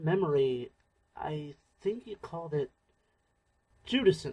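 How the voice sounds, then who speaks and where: This man has a high pitch and lively intonation. He speaks at a fairly slow pace. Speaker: voice actor playing a friend character in a sci-fi audio drama. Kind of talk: audio drama dialogue. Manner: soft-spoken.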